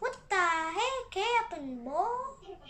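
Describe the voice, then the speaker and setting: A woman puts on a character voice at an extremely high pitch, with very wide pitch swings. Background noise is clearly heard. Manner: exasperated.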